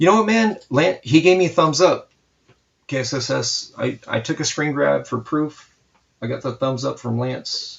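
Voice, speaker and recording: A somewhat breathy, fairly high-pitched man's voice at a moderate pace. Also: lively intonation. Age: 40s. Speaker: comic book artist streamer. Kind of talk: casual chat during live art stream. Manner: animated.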